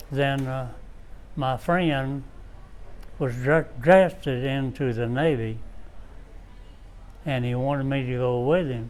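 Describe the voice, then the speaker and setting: A man at a medium pitch with fairly even intonation, a very slow pace and long, frequent pauses, in audible room echo. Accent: Appalachian. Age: 90s. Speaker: war veteran. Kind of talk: interview. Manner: halting.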